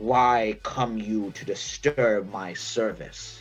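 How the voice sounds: A man growls in a croaky, put-on character voice at medium pitch. His pace is very slow, with clear music in the background.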